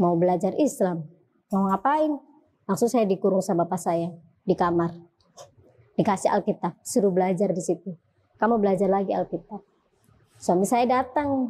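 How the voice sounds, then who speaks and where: A woman speaks at a moderate pace in a dark, mellow tone, with ordinary pitch variation and long, frequent pauses. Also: medium pitch for a woman. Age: 30s. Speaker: convert to Islam. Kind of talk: testimony.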